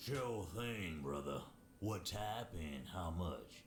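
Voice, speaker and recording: Over clear background noise, a man puts on a character voice with a very deep, low pitch at a very slow pace. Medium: game stream. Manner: suspicious, defensive.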